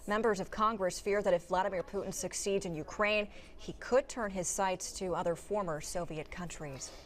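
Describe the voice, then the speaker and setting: At a fairly quick pace, a woman with a plain, everyday voice talks at medium pitch with ordinary pitch variation. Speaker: TV news anchor. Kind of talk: TV news broadcast read.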